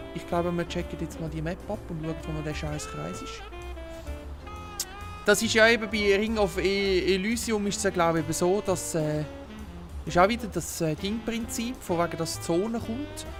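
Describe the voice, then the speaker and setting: Over music in the background, a man with a Swiss accent talks with long, frequent pauses. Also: moderate pace. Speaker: gamer. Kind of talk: casual let's play gaming commentary.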